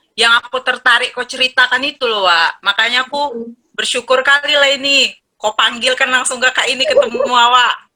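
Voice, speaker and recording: A woman speaks with a strong Medan accent at a moderate pace. Her voice is high-pitched with a bright, sharp tone. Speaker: channel owner, co-host. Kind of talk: casual chat. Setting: video call from a boarding room. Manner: animated.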